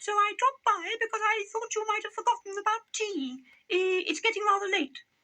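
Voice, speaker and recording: Putting on a character voice, a man speaks at a fairly quick pace. The voice is squeaky and extremely high in pitch. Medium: read story. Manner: nervous, polite.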